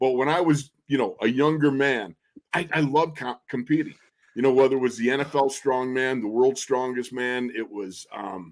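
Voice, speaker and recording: Here a man talks at a moderate pace in a medium pitch with ordinary pitch variation, an unremarkable speaking voice. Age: 60s. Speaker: football radio color analyst, former NFL player. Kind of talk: casual chat.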